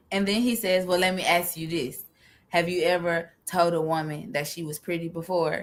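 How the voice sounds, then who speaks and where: A woman speaks in a fairly low pitch. Her pace is moderate. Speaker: podcast co-host. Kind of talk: casual chat. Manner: loud; animated.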